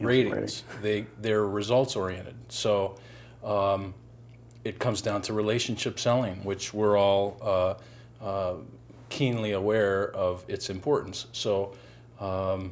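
This man talks at a very slow pace. His voice sits fairly low in pitch. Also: fairly even intonation. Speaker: guest. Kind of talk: panel discussion answer. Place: studio. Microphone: lapel.

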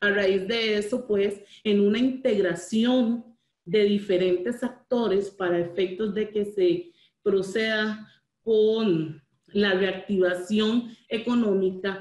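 In a room with audible echo, a woman speaks at a very slow pace with very even loudness. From Costa Rica. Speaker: port authority manager; presenter. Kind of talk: webinar presentation. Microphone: video call.

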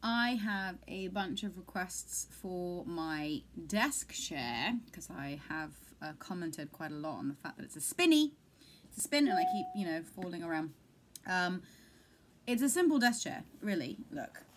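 A woman speaks at a fairly slow pace with very wide pitch swings and big swings in loudness over light background noise. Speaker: vlogger. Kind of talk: casual vlog chat. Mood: playful, a bit dizzy. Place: home room. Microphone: webcam.

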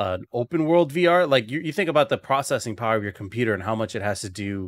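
A man speaks with lively intonation. The sound is dry, with no echo. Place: home room.

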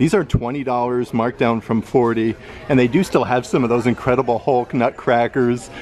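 A man at a moderate pace, dry sound with no echo, light background noise. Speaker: vlogger filming a store visit. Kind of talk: casual vlog commentary. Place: shop. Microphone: phone near.

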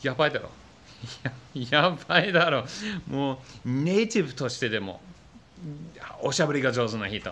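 A man speaks with a non-native accent at a moderate pace, his voice fairly high and his intonation lively. Long pauses come often. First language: not Japanese (speaking Japanese). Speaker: YouTuber; language learner vlogger. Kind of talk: vlog monologue. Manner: hesitant, many fillers. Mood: reflective, slightly frustrated. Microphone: phone near.

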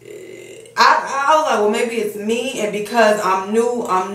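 A woman at a moderate pace, ordinary pitch variation, and audible room echo. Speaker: fitness vlogger. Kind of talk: casual vlog chat. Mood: mildly annoyed venting. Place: bathroom. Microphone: phone near.

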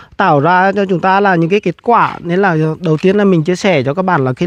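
A man talks at a high pitch and moderate pace with ordinary pitch variation, in a dry sound with no echo. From Vietnam, Nghệ An; Vietnam. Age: 30s. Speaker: agribusiness entrepreneur; farming entrepreneur vlogger. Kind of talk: casual vlog talk to camera. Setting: outdoors at grass farm. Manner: halting, many fillers. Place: street. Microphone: lapel.

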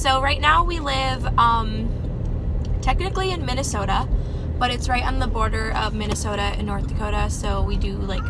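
A woman at a fairly quick pace amid loud background noise. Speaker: mom vlogger. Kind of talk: casual vlog chat. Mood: excited, sharing news. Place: car. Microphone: phone near.

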